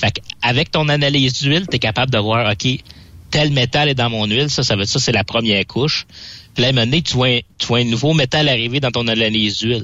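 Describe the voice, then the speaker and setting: At a very fast pace, a man with a Quebec accent speaks at medium pitch, his pitch varying in an ordinary way and his loudness very even. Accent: Québécois French. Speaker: trucking equipment columnist. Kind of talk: radio chat.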